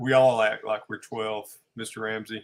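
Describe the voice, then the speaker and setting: This man talks in a Southern US accent, his pitch fairly low. His delivery is fairly slow and flat, close to a monotone. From US South. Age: 40s. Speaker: RC pilot, co-host. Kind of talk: casual livestream chat.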